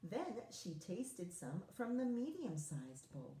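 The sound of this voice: With lively intonation, the speaker uses an unforced reading voice.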